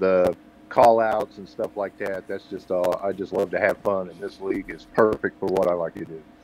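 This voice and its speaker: A man with an American accent at a moderate pace, a dry sound with no echo and light background noise. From Oklahoma City, Oklahoma; Oklahoma. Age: 60s. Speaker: sim racing driver; podcast guest. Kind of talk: casual chat. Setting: video call. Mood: relaxed, friendly. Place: home room. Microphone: video call.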